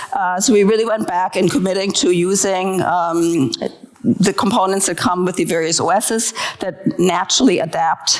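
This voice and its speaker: A woman speaks at a moderate pace with a German accent and ordinary pitch variation. Noticeable background noise runs underneath. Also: medium pitch for a woman. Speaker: design leader speaking at a conference. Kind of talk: conference talk. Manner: hesitant, many fillers.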